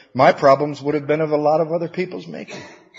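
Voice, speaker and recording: Somewhat breathy, a man with an American accent speaks at a very fast pace. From Michigan (Battle Creek). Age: 50s. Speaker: recovery workshop speaker. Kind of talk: recovery talk to an audience.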